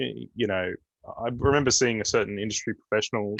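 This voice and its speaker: The delivery is very fast, with an Australian accent and ordinary pitch variation. The sound is dry and close, with no echo. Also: man. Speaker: panelist, app developer. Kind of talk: panel discussion. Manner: hesitant, many fillers.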